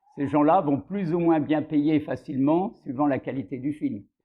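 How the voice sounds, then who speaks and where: A man speaks at a fairly slow pace in a fairly high pitch, with ordinary pitch variation. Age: 60s. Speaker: film financier, bank director. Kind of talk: interview monologue. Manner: hesitant, frequent filler euh.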